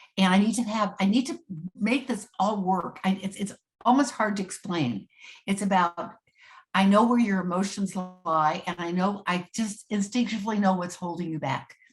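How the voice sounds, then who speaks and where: Ordinary pitch variation in a woman's somewhat breathy voice. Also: medium pitch for a woman, moderate pace. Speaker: astrologer and psychic. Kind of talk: interview conversation.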